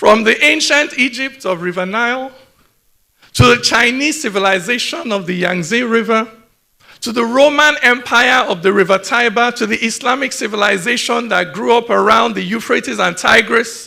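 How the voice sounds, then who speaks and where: A man's raised, projected voice, extremely high in pitch, at a moderate pace with ordinary pitch variation. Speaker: poet. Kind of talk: spoken word performance.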